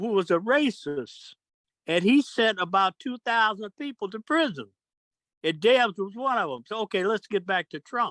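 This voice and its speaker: A man with a high pitch and an American accent, lively intonation at a moderate pace, in a dry, close sound with no echo. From United States. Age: 80s+. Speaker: political commentator. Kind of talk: casual chat. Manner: halting.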